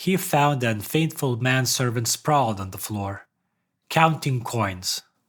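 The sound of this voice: Lively intonation from an unforced reading voice, with quiet surroundings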